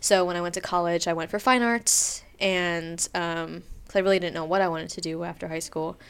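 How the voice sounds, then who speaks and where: A woman with an American accent in an unremarkable speaking voice, fairly low in pitch, at a fairly quick pace with fairly even intonation, on a very clean recording with a silent background. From Pennsylvania, US. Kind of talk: casual chat. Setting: recording on location in a studio suite with street noise.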